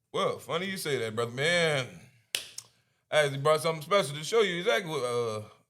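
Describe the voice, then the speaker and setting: A man with a fairly high voice talks very fast in an animated, lively way, leaving long, frequent pauses, and audible echo fills the room. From Hampton, Virginia, US. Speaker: rapper. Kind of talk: casual chat. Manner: halting, stuttering.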